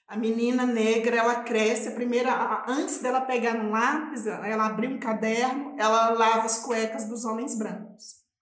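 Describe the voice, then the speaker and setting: A woman talks at a moderate pace with hardly any pauses. Her fairly high voice has monotone, flat intonation. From Minas Gerais, Brazil (rural north, raised in Belo Horizonte). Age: 40s. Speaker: quilombola activist. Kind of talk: casual interview conversation.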